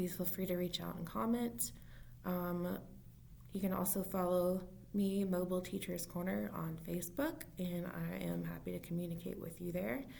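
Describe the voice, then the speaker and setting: With audible room echo and noticeable background noise, a woman is heard talking. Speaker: early intervention special education teacher. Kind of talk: informal solo talk to camera. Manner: fast; halting.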